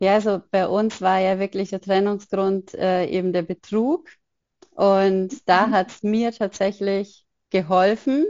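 A woman's unremarkable speaking voice, medium in pitch, fairly even in intonation and fairly slow in pace. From Upper Bavaria, near Munich. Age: 30s. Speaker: photographer and single mother. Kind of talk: interview conversation.

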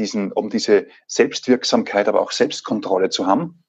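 Over a quiet background, a man with a slight Salzburg accent talks at a fairly slow pace. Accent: slight Salzburg Austrian. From Austria, Salzburg. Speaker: leadership trainer and coach, trained actor. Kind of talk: casual interview. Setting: remote recording.

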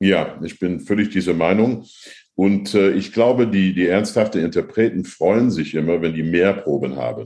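Very deep and low, a man's voice carries vocal fry and ordinary pitch variation at a moderate pace. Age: 60s. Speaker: opera and new music singer, professor. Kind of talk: interview. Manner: halting.

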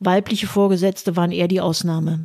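A dark, mellow tone at a moderate pace with fairly even intonation. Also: woman. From Westphalia, Germany (Münster). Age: 60s. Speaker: podcaster, retired lawyer and party member. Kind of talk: scripted narration. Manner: formal.

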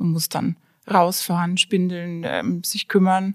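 On a very clean recording with a silent background and a dry, close sound without echo, a woman with a medium pitch speaks somewhat breathily at a fairly slow pace. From Franconia, Germany (small town near Nuremberg). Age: 40s. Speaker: designer and hobby brewer. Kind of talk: casual interview.

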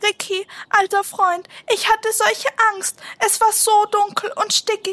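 A woman puts on a shaky character voice at an extremely high pitch. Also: moderate pace. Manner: trembling, scared.

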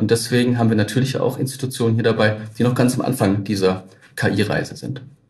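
A man talks very fast and somewhat breathily, his intonation fairly even, with audible room echo. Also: medium pitch for a man. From Baden-Württemberg, Tübingen. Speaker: innovation network manager, head of an AI park. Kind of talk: interview.

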